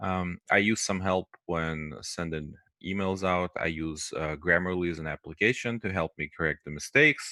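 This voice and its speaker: A man's very deep, low voice with a bright, sharp tone and a non-native accent, at a moderate pace with ordinary pitch variation, dry with no echo against a quiet background. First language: not English. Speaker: QA teacher. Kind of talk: lecture. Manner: hesitant, many fillers. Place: home room. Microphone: headset.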